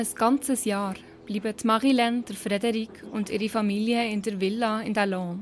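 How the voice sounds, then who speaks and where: A woman with a Bernese accent speaks at a fairly slow pace and fairly high pitch, with monotone, flat intonation. Music plays in the background. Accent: Bernese Swiss German dialect. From Switzerland, Bernese Seeland. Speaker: podcast host and producer. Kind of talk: scripted narration.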